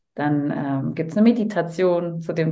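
Over noticeable background noise and audible room echo, a woman speaks at a moderate pace in a very deep, low voice. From Cologne, Germany. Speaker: voice-over speaker and holistic health coach. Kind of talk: casual interview chat.

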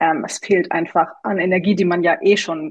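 In a dry, close recording with no echo, a woman with a fairly low pitch talks at a moderate pace in a monotone, flat intonation. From Tübingen, southwest Germany. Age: 30s. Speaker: coaching client. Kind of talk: interview testimony.

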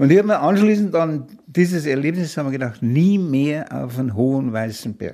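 A man with a strong Bavarian accent and a dark, mellow tone, fairly high in pitch, at a moderate pace with lively intonation. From Munich, Bavaria. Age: 80s. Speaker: retired mountaineer, expedition veteran. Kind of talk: storytelling interview.

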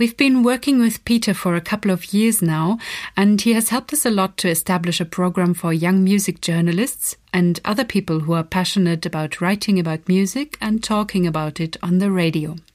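A woman with a normal speaking voice talks fairly quickly at medium pitch, with ordinary pitch variation, very even loudness and hardly any pauses. The recording is very clean with a silent background. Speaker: festival team member introducing the podcast. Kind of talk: scripted introduction.

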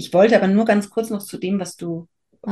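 At a fairly quick pace, a woman speaks in a medium pitch with a dark, mellow tone, a somewhat breathy quality and fairly even intonation. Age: 50s. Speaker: birth photographer. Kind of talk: interview.

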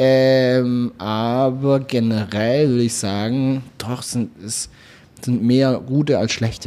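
Intonation stays fairly even as the man talks. He uses a medium pitch and a very slow pace. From Swabia, southwestern Germany. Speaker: content creator. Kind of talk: casual chat. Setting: restaurant.

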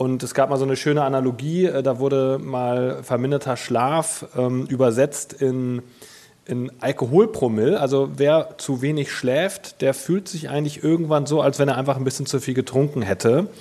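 The speaker is a man whose pitch varies in an ordinary way. Noticeable background noise runs behind him. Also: medium pitch for a man, moderate pace. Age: 30s. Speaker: mattress company co-founder, sleep expert. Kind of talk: interview.

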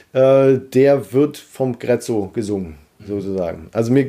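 The speaker is a man at a medium pitch. His voice carries a dark, mellow tone. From Harz region, Germany. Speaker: ventriloquist, musician and social worker. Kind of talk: casual interview chat.

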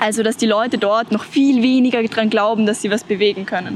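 A woman with a fairly high pitch speaks at a moderate pace with fairly even intonation over noticeable background noise. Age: 20s. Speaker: climate activist. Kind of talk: interview.

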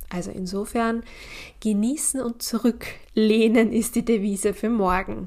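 A woman with a fairly high pitch and a dark, mellow tone talks at a fairly slow pace, her intonation fairly even. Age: 30s. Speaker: cycle coach and podcast host. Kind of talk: solo podcast monologue.

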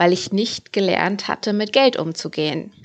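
At a moderate pace, a woman talks in a plain, everyday voice at a medium pitch with fairly even intonation. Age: 30s. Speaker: personal finance podcaster. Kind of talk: podcast monologue.

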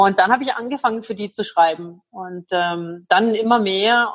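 A woman at a medium pitch, moderate pace and ordinary pitch variation. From Germany. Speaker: interpreter and gin entrepreneur. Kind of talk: interview.

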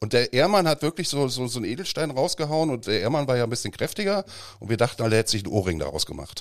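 A man talks at a very fast pace with vocal fry, a medium pitch, and very wide pitch swings. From Cologne, Germany. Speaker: copywriter and voice model. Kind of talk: casual chat.

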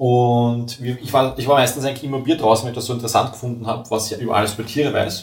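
Speaking very fast, a man delivers his words in a flat monotone. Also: medium pitch for a man. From Vienna, Austria. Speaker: tool-making technician. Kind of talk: casual interview.

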